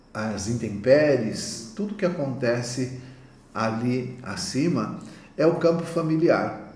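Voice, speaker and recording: Very slow male voice at a medium pitch, lively intonation, audible room echo and noticeable background noise. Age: 60s. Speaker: naturopath. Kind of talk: conference talk.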